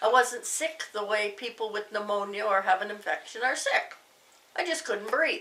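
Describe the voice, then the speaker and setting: Over noticeable background noise, a woman with a Canadian accent talks at a moderate pace in a fairly high pitch with ordinary pitch variation. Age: 60s. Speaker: YouTuber recovering from a heart attack. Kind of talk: casual personal testimony. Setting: home living room.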